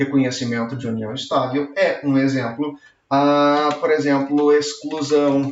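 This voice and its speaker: A man speaks at a very slow pace with a fairly high pitch. Room echo is audible. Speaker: law professor. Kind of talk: lecture. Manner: animated.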